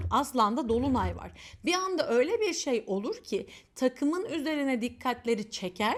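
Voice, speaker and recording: Speaking at a moderate pace, a woman with a high voice sounds animated, her intonation lively. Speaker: astrologer. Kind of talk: casual chat. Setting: self-recorded video.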